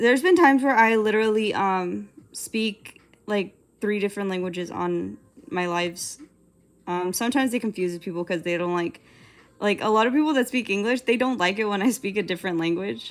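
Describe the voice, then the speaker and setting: In an unremarkable speaking voice, a woman talks at a fairly quick pace, her pitch medium and its variation ordinary. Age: 20s. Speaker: digital artist live streamer. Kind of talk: casual live stream chat while drawing.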